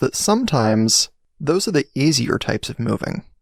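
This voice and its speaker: A man speaks in a normal speaking voice, fairly high in pitch, at a moderate pace. The sound is dry and close, with no echo. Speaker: podcast host. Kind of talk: podcast intro read.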